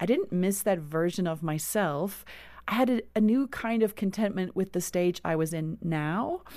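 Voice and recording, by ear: A woman with a South African accent has a dark, mellow tone at a medium pitch with ordinary pitch variation. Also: fairly slow pace.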